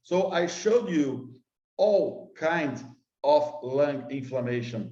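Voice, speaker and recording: With audible room echo, a man speaks in a Brazilian accent, his dark, mellow tone set at a fairly high pitch with ordinary pitch variation. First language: Portuguese. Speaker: scientist. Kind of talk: conference lecture. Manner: halting.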